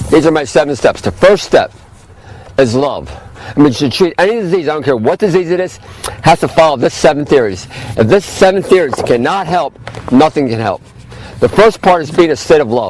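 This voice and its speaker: Speaking at a fairly quick pace with lively intonation, a man uses a fairly high pitch against noticeable background noise. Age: 60s. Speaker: health food store owner. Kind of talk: informal health talk to camera. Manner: fast; halting, many fillers.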